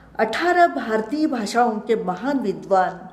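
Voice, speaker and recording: A woman's somewhat breathy, fairly high voice in a Kannada accent, with lively intonation and audible room echo. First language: Kannada (speaking Hindi). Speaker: retired professor and translator. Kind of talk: lecture. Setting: web lecture. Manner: formal.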